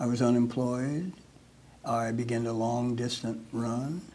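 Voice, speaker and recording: A man with a dark, mellow tone speaks at a medium pitch and fairly slow pace, with audible room echo. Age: 80s+. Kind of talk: casual interview.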